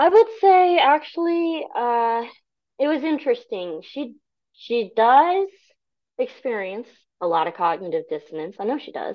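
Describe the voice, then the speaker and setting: Delivered at a fairly slow pace in an American accent, the voice shows very wide pitch swings and big swings in loudness. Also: woman, high pitch for a woman. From US military family abroad and Nebraska. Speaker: humanist group member. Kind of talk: interview.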